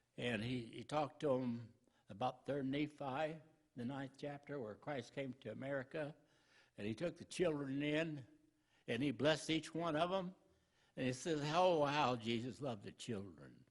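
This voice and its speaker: His pitch sits fairly high, and he moves at a moderate pace with ordinary pitch variation. This man has an unremarkable speaking voice. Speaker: preacher. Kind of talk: sermon. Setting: church.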